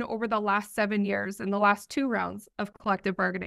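In a quiet setting, a woman talks at a fairly quick pace with ordinary pitch variation. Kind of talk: press statement. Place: office. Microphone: earbuds.

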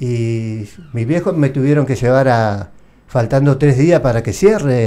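In a Rioplatense accent, a man speaks at a fairly slow pace. His voice is fairly high, with a dark, mellow tone. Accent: Argentine Spanish (rioplatense). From Argentina, Santa Fe. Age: 60s. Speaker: war veteran. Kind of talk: interview testimony; interview answer. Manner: halting. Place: studio. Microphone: studio mic.

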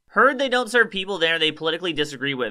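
Quiet background behind a man talking. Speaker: online commentator. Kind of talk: commentary. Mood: mocking, amused. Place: studio. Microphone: studio mic.

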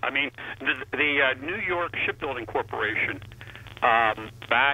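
Over noticeable background noise, a man speaks at a fairly slow pace in a fairly high pitch with ordinary pitch variation. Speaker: former state policy advisor. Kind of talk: radio interview.

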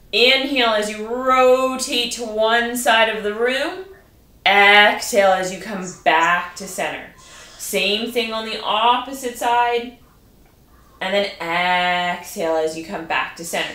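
A woman's very slow speech with ordinary pitch variation and audible room echo. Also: big swings in loudness. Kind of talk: exercise class instruction. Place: home room. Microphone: camera far.

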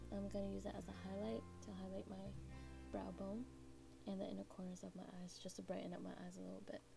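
Clear music plays behind a woman who speaks at a very fast pace. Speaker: beauty vlogger. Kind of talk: makeup tutorial talk to camera. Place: home room. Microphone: camera far.

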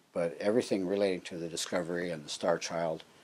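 A man's very deep, low voice with fairly even intonation at a moderate pace. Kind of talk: interview answer. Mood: calm, reflective recollection. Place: home room. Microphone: lapel.

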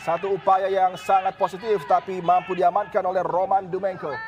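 This man's voice sits high in pitch and sounds animated and excited. Noticeable background noise runs behind him. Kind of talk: football commentary. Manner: animated, excited, rising with each chance.

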